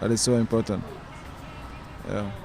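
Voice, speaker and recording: Music plays in the background. Over it, a man speaks in a fairly low pitch. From Sudan, Darfur. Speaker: migrant interviewee. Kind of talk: interview. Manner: halting, many hesitations.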